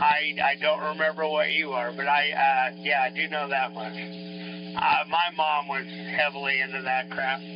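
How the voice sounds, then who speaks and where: Noticeable background noise under a man's fairly slow delivery. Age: 60s. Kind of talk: casual chat. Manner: halting.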